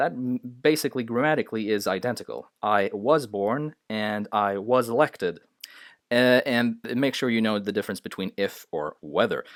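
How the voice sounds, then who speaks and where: Very clean with a silent background and a dry, close sound free of echo, the recording has a man with a non-native accent speaking at a moderate pace, medium pitch and ordinary pitch variation. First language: not English. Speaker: English grammar teacher. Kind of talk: tutorial. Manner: hesitant, many filler sounds.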